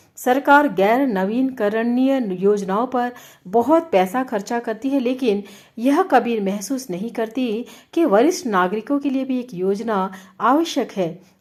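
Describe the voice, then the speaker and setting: Lively intonation colors a woman's high-pitched speech. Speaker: radio jockey. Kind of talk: radio-style commentary read to camera.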